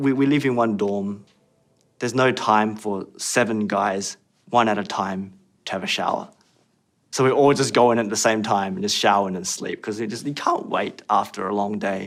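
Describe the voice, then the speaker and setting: A man speaks with an Australian accent in a fairly low pitch. His pace is moderate and his intonation fairly even. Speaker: former pop idol trainee, actor. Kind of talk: interview testimony.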